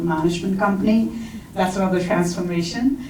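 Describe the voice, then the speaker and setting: A woman talks with an Indian accent. Noticeable background noise and audible room echo are present. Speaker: HR talent executive, panelist. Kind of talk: conference panel discussion. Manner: hesitant, frequent fillers.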